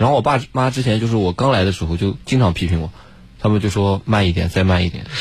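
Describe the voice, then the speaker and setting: Speaking very fast in a fairly low, somewhat breathy voice, a man uses ordinary pitch variation on a very clean recording with a silent background. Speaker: graduate student. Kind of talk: casual chat.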